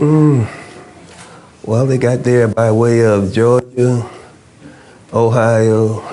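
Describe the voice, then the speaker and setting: Amid noticeable background noise and audible room echo, a man speaks with fairly even intonation. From New York City (Jamaica, Queens). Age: 70s. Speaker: former political prisoner, activist. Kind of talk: interview.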